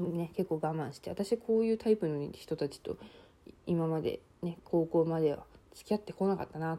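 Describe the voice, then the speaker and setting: A woman's dark, mellow, fairly low voice with big swings in loudness. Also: ordinary pitch variation, moderate pace. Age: 20s. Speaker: university student podcaster. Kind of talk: casual solo monologue.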